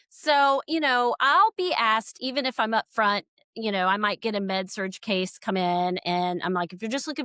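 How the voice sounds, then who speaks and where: A woman speaks at a fairly quick pace in a Southern US accent, her fairly high pitch and bright, sharp tone carried by lively intonation in a dry, close sound with no echo. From US South, Georgia. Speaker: critical care nurse and expert witness. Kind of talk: podcast interview. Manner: hesitant, many fillers.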